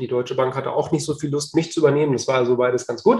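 Somewhat breathy male voice, fairly high in pitch, with fairly even intonation. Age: 40s. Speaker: real estate agent and property investor. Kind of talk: casual interview.

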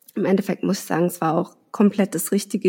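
A woman's dark, mellow tone with vocal fry, at a moderate pace. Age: 30s. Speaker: mother sharing fertility treatment story. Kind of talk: personal interview, emotional testimony.

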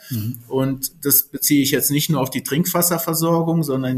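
A somewhat breathy man's voice, fairly high in pitch, with fairly even intonation. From Berlin (Spandau). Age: 50s. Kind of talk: interview.

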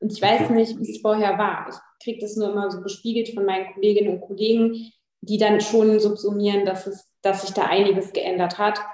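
The speech moves at a fairly quick pace with monotone, flat intonation. Its loudness swings widely. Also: woman, medium pitch for a woman. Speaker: politician. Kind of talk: interview.

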